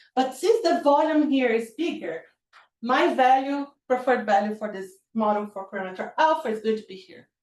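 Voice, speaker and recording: A woman with a high voice talks at a fairly quick pace, her intonation lively and her loudness swinging widely. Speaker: physicist giving seminar talk. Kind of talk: lecture.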